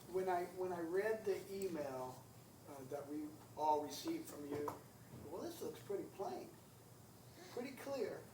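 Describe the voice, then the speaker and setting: A man with a high pitch, lively intonation and a fairly slow pace, long, frequent pauses, noticeable background noise and audible room echo. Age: 60s. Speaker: county council member. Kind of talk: public meeting discussion. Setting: county council meeting.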